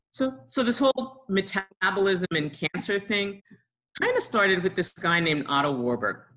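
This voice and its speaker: A woman speaks at a medium pitch with a bright, sharp tone and some vocal fry. Her pitch swings very widely while her loudness stays very even. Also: moderate pace. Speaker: research scientist. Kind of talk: lecture.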